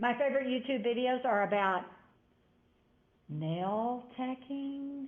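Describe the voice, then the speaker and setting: Amid audible room echo, a woman with a high pitch speaks very slowly, with long, frequent pauses and ordinary pitch variation. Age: 60s. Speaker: college instructor. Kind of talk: lecture.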